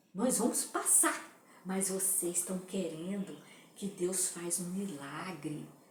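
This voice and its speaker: A woman's medium-pitched voice at a very slow pace, with ordinary pitch variation, audible room echo and noticeable background noise. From Brazil. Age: 60s. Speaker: political commentator. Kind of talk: opinion monologue.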